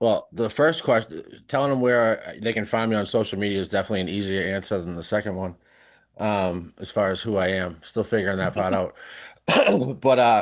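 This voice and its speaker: The background is quiet as a man speaks at a moderate pace. His pitch variation is ordinary. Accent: Boston. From South Shore, Massachusetts (near Boston). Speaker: podcast guest, social media creator. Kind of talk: casual chat. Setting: live-streamed podcast.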